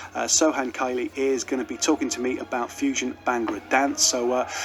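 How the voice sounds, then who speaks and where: Fairly quick male speech with noticeable background noise. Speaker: radio presenter. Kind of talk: radio presenting.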